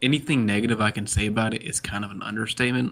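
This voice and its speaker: A man with an American accent, medium pitch, ordinary pitch variation, a bright, sharp tone and vocal fry. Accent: Southern, usually kept down a little. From US South, Georgia (Dawsonville). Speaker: sim racing driver. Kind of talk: casual chat.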